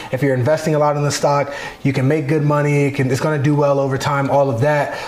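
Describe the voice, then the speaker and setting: With an American accent, a man speaks very fast in a flat monotone at very even loudness, with audible room echo and noticeable background noise. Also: fairly high pitch for a man. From Arizona. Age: 30s. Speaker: professional football player. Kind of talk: interview.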